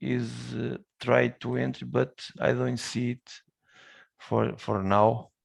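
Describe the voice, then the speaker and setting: Speaking at a very slow pace, a man swings very widely in pitch and leaves long, frequent pauses. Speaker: professor. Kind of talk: online meeting. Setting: video call.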